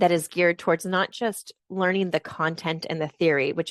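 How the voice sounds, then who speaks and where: Using an unremarkable speaking voice with an American accent, a woman talks at a fairly low pitch and moderate pace, in a dry, close sound with no echo and a quiet background. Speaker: university lecturer. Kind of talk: online info session presentation. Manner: many filler ums.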